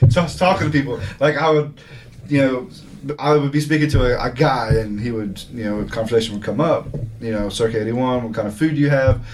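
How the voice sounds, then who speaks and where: A man speaks very fast at a medium pitch, with ordinary pitch variation. Music plays in the background, and the room echo is audible. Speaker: restaurant owner. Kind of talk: interview. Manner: occasionally mumbling.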